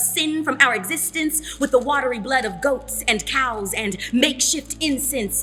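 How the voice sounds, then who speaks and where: Against background music, a woman with a high pitch projects her raised voice at a fairly slow pace with ordinary pitch variation. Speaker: spoken word poet. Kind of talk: spoken word poetry performance.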